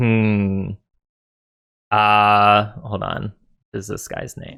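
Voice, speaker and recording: Very slowly, a man delivers a put-on character voice at a fairly low pitch. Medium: actual play. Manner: broken simple speech.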